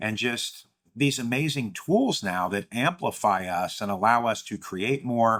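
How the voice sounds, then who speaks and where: This man speaks at a moderate pace with a medium pitch and ordinary pitch variation, in an unremarkable speaking voice. The recording is very clean, with a silent background. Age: 50s. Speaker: AI literacy advocate. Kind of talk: casual talk to camera.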